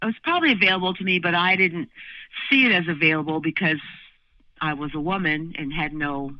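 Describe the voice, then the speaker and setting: A woman talks at a fairly quick clip with an American accent. Her pitch is very deep and low, with ordinary variation. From Southern California. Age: 60s. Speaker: musician and vocal/bass teacher. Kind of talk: interview conversation. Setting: podcast recording. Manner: halting, many fillers.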